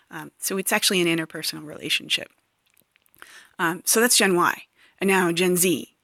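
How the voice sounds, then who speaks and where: A woman's fairly low, bright, sharp voice with vocal fry, fairly quick pace, fairly even intonation and long, frequent pauses, dry and close with no echo, very clean recording with a silent background. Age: 40s. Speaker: podcast host. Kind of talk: solo monologue podcast. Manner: halting, many fillers.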